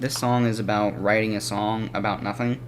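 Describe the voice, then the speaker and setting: Medium-pitched male speech, monotone and flat, over noticeable background noise. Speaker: music reviewer. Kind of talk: casual video review. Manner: fast; halting.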